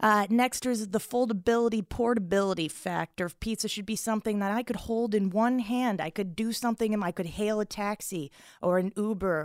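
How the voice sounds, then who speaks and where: An unremarkable speaking voice with an American accent moves at a fairly quick pace with ordinary pitch variation, in a very clean recording with a silent background that sounds dry and close with no echo. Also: woman, medium pitch for a woman. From South Florida. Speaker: comedian. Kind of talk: comedic food debate.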